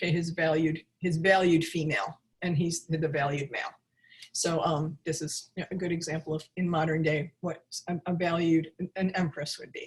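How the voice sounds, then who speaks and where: Her pitch is fairly low, and her voice is somewhat breathy. This woman keeps a moderate pace with monotone, flat intonation. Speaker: tarot reader and teacher. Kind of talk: online class. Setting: video webinar. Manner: halting, many restarts.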